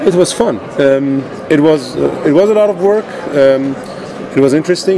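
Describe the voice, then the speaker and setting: A man with lively intonation keeps a moderate pace as noticeable background noise runs underneath. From Iran. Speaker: conference co-chair and innovation officer. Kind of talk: casual interview.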